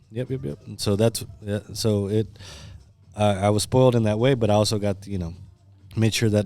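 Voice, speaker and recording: A man with an American accent, music in the background. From Kansas City, Missouri, Mexican family. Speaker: musician. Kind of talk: casual chat. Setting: studio.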